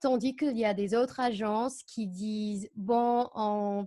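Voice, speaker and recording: In a very clean recording with a silent background, a woman talks at a fairly high pitch with an American accent. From United States. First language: English (speaking French). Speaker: au pair agency co-founder. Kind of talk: interview. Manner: halting.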